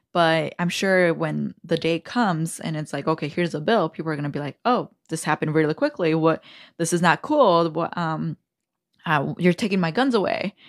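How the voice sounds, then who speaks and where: A woman with a plain, everyday voice and a fairly low pitch talks at a moderate pace with ordinary pitch variation, recorded dry and close with no echo. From Aurora, Illinois, US. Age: 30s. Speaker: state representative, politician. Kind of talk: casual interview chat.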